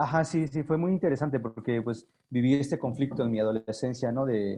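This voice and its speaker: The tone is dark and mellow, with very even loudness. Pitch varies in an ordinary way at a fairly quick pace. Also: man, medium pitch for a man. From Sierra Norte de Oaxaca, Mexico. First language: Zapotec (speaking Spanish). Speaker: language activist. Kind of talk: interview. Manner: halting, many fillers.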